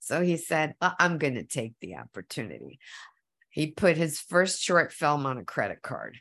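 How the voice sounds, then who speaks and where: A woman's very deep, low voice with vocal fry and big swings in loudness, against a quiet background. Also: lively intonation, moderate pace, dry, close sound with no echo. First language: Spanish. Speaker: actor. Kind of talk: interview. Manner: animated; halting.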